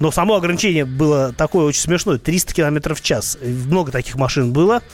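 Through noticeable background noise, a man with a fairly high pitch talks at a fairly quick pace. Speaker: radio host and car expert. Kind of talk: radio talk show answering listener questions.

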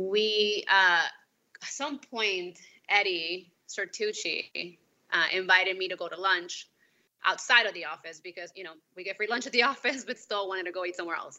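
A woman with a Spanish accent speaks at a moderate pace and medium pitch, her bright, sharp tone showing ordinary pitch variation and big swings in loudness. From Peru. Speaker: company employee, married guest. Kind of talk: casual chat.

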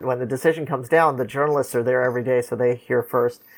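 On a very clean recording with a silent background, a man with a Californian accent speaks at a fairly quick pace, medium in pitch and fairly even in intonation. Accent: General American, California. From Los Angeles. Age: 50s. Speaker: lawyer. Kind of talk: interview, storytelling.

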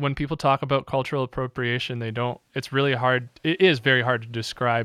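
In a plain, everyday voice, a man speaks fairly quickly at a medium pitch with fairly even intonation, in a dry, close sound with no echo. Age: 20s. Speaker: radio host. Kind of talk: casual interview.

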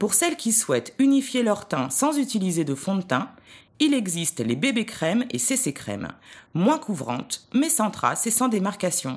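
Her medium-pitched voice swings very widely in pitch, and this woman speaks at a moderate pace with vocal fry. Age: 40s. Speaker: image consultant, volunteer. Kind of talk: scripted narration of beauty tips.

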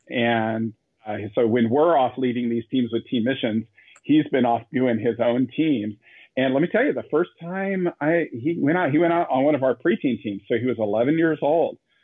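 At a moderate pace, a man with medium pitch talks in a normal speaking voice with ordinary pitch variation. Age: 30s. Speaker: missionary and youth speaker. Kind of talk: interview.

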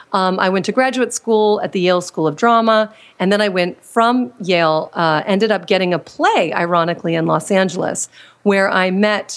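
A woman with a plain, everyday voice, fairly low in pitch with ordinary variation, speaks at a moderate pace on a very clean recording with a silent background. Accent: American. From Washington, D.C. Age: 40s. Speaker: confidence coach and former actress. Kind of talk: interview.

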